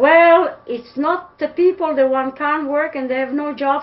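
A woman speaks at a fairly slow pace with a Serbian accent. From Serbia (Pančevo). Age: old. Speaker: interviewee. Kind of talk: interview answer. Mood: disappointed, indignant. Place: home room. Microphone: webcam.

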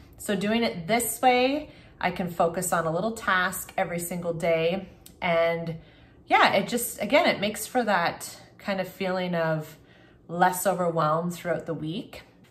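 The voice is somewhat breathy, with ordinary pitch variation. It moves at a moderate pace. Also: woman. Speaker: family vlogger. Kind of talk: casual vlog chat. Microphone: phone near.

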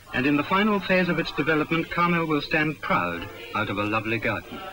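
A man at a fairly quick pace, the sound dry with no echo and noticeable background noise. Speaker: documentary narrator. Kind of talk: 1961 school promotional film narration. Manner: formal, solemn, rhetorical. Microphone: old recording.

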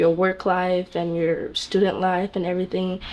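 A woman speaks with an American accent at a moderate pace. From US South. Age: 20s. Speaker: student and hairstylist. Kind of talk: interview. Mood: warm, smiling, confident. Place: home room.

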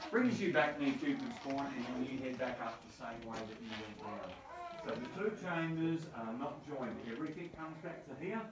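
The room echo is audible as a man talks. He keeps a moderate pace over noticeable background noise. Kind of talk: tour briefing. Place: tunnel cave. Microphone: camera far.

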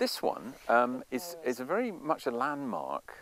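A man speaks with a Cornish accent. The sound is dry, with no echo. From Cornwall. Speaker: local historian and storyteller. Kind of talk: outdoor guided walk commentary. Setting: outdoors. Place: open country.

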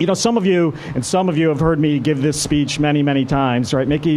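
With light background noise behind him, a man speaks with ordinary pitch variation. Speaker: speaker. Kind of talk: lecture. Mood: relaxed, joking. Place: tent. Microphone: podium.

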